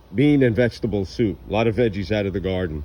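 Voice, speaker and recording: Fairly low in pitch, a man talks in a normal speaking voice with ordinary pitch variation. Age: 60s. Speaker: home gardener. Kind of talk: casual vlog narration. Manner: casual, conversational.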